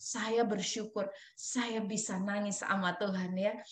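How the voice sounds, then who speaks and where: Audible room echo around a woman's voice. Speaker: preacher. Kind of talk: sermon; testimony.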